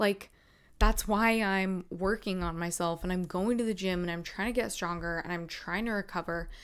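In a plain, everyday voice with an American accent, a woman speaks at medium pitch and a moderate pace with fairly even intonation, on a very clean recording with a silent background. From North Carolina. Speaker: podcast host, fitness competitor. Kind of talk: solo podcast storytelling. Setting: video recording at laptop.

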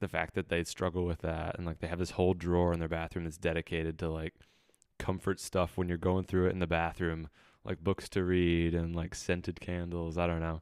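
The intonation is monotone and flat, in a very clean recording with a silent background. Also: man. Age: 20s. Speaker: indie pop musician. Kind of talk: casual chat.

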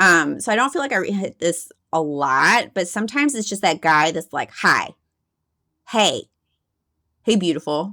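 In an American accent, a woman speaks at a moderate pace with a bright, sharp tone and very wide pitch swings. Her long, frequent pauses stand out in a very clean recording with a silent background. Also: medium pitch for a woman. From Texas. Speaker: podcast co-host, creative professional and comedian. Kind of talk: casual chat.

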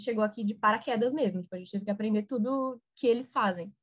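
At a very fast pace, a woman with a fairly high, somewhat breathy voice keeps her intonation fairly even. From Brazil. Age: 20s. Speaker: recent university graduate. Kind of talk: casual interview.

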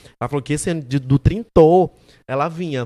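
A man speaks at a fairly quick pace in an animated tone, on a very clean recording with a silent background. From Maranhão, Brazil (Santo Inês). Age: 20s. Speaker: digital content creator, comedian. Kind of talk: casual chat.

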